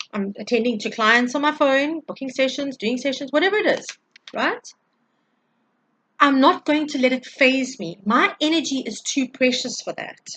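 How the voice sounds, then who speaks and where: A woman speaks loudly in a high-pitched voice, with an animated tone, ordinary pitch variation and a moderate pace. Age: 40s. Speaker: tarot reader and energy healer. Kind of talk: spiritual energy update monologue.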